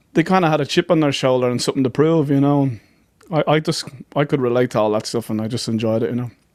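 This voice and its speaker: The speaker has an Irish accent. The pace is very fast. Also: man, fairly high pitch for a man, ordinary pitch variation. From Ireland, County Dublin. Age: 40s. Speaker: folk musician. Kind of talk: podcast interview.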